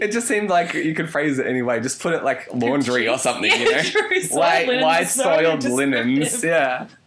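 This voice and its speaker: A man speaks at a moderate pace with hardly any pauses and very wide pitch swings, against noticeable background noise. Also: fairly high pitch for a man. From Canada. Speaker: podcast co-host.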